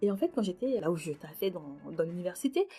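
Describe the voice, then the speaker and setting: Somewhat breathy and fairly quick, a woman with a medium pitch speaks with very wide pitch swings. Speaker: podcast host. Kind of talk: personal reflective monologue. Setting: recording in her bathroom at night. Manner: casual, hesitant.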